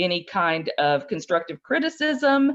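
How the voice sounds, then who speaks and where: A woman at a moderate pace. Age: 60s. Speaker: flute dealer, business owner. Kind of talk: interview. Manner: hesitant, many fillers.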